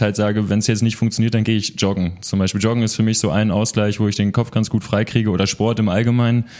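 Very fast and monotone, with flat intonation, a man talks at a fairly low pitch. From Münster, Westphalia, Germany. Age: 20s. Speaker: social entrepreneur. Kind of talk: interview.

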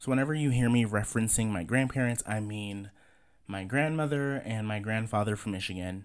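This man has an ordinary speaking voice, medium in pitch with ordinary pitch variation, and he moves at a fairly quick pace. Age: 30s. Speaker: podcast host. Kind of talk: casual monologue.

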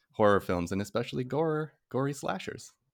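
The sound is dry and close with no echo, and the delivery moves at a moderate pace with ordinary pitch variation. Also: man. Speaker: podcast guest, horror fan. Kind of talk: casual podcast chat. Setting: video call, early morning.

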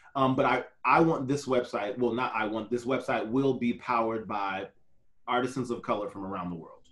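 Here a man speaks in an ordinary speaking voice. His pitch is medium, his pace fairly quick, and his pitch variation ordinary. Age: 40s. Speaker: photographer and real estate agent. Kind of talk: casual interview chat.

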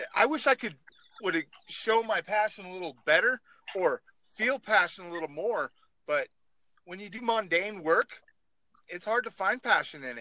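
In an American accent, a man with a high pitch uses a raised, projected voice with a bright, sharp tone and lively intonation. Long, frequent pauses break it up, and the sound is dry and close with no echo. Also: moderate pace, big swings in loudness. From Oregon, US. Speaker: truck driver.

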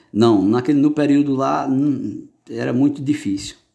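With music in the background, a man of medium pitch talks at a moderate pace with ordinary pitch variation. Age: 40s. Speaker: former bricklayer's helper. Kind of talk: interview answers. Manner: halting, many repetitions.

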